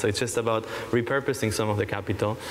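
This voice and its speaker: Over noticeable background noise, a man with a medium-pitched voice speaks at a fairly quick pace. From Israel. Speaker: startup panelist. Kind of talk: panel discussion.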